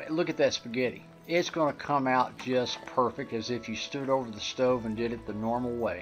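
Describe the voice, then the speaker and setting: Faint music plays in the background while the speaker talks at a moderate pace. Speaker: home cook host. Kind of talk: cooking tutorial. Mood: friendly, relaxed. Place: kitchen.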